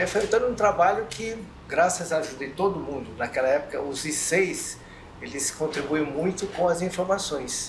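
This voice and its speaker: A man speaks at a high pitch and a moderate pace, with ordinary pitch variation. Audible room echo and noticeable background noise surround him. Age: 60s. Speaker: community association member. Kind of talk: round-table discussion.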